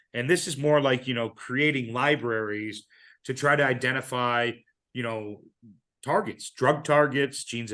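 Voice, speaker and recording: A man speaks at a medium pitch with ordinary pitch variation and a bright, sharp tone against a quiet background. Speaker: biotech company CEO giving an invited talk. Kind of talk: lecture. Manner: fast; repetitive fillers, stumbling restarts.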